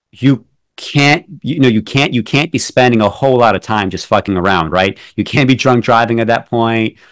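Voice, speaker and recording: A man with an unremarkable speaking voice talks at a moderate pace and medium pitch, with ordinary pitch variation, in a dry, close sound with no echo. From New York City, born in Belarus. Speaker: poet and film critic. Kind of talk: interview conversation. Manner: many fillers and restarts.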